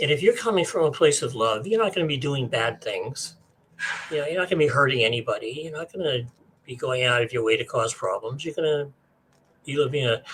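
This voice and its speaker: Speaking at a very fast pace, a man talks at a fairly high pitch. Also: lively intonation. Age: 70s. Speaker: spiritual author. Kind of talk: interview. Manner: casual, hesitant with many fillers.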